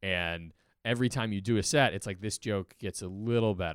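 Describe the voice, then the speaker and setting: In a very clean recording with a silent background, a man speaks in a plain, everyday voice. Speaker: stand-up comedian. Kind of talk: casual chat.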